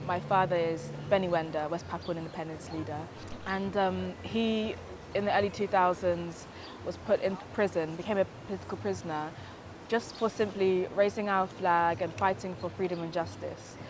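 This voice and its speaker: A woman with a British accent, a fairly low pitch, fairly even intonation and a moderate pace. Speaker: activist. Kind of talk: testimony. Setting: Hawaii.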